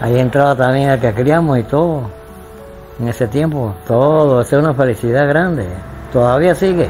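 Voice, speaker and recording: Backed by music, a man speaks at a fairly slow pace and a fairly high pitch. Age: 80s+. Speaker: retired builder and family snack-shop owner. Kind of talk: interview answer. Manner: hesitant. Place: home room. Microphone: lapel.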